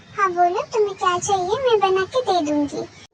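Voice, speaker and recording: Someone puts on a squeaky character voice and speaks at a moderate pace. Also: female-sounding voice, extremely high pitch for a woman. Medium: fan dub. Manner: sweet, bashful.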